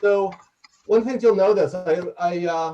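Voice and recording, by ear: Loud and fairly slow, a man with a New York accent talks in a high pitch with ordinary pitch variation and a dark, mellow tone.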